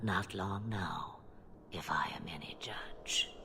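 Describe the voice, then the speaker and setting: A put-on character voice whispers at a fairly slow pace. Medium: game stream. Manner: cryptic, sardonic, theatrical.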